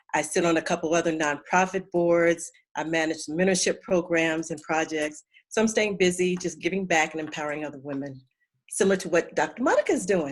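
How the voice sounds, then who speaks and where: A woman speaks at a fairly quick pace with fairly even intonation. Her pitch sits fairly low. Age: 60s. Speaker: retired nonprofit leader. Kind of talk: casual chat.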